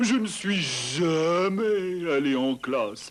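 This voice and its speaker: With light background noise, a man does a cartoonish character voice at a high pitch and a very slow pace. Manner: cheerful, lightly whimsical.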